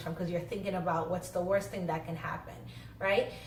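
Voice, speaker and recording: A woman's pitch varies in an ordinary way amid audible room echo and noticeable background noise. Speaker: social worker and vlogger. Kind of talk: casual vlog talk. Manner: fast.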